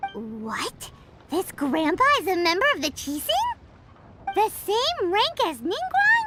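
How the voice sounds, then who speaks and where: A put-on character voice at an extremely high pitch, with very wide pitch swings. The pace is fairly slow. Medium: video game. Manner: blunt, inquisitive.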